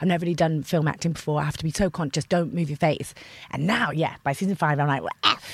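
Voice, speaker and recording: With a very deep, low pitch and a somewhat breathy sound, a woman talks at a very fast pace with fairly even intonation. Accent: English. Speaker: actor. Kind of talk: casual chat.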